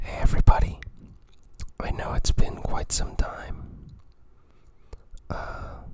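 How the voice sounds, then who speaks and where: Someone whispers at a very slow pace with long, frequent pauses against noticeable background noise. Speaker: ASMR creator. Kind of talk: ASMR show-and-tell of an art book. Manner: whispered.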